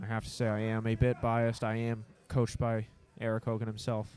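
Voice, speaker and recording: Over music in the background, a man speaks in a monotone with flat intonation. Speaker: powerlifting meet announcer. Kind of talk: live commentary.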